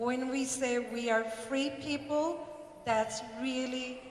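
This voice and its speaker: The speaker goes at a very slow pace with ordinary pitch variation, and there is audible room echo and noticeable background noise. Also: woman. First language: Bengali. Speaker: community speaker. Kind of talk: public speech.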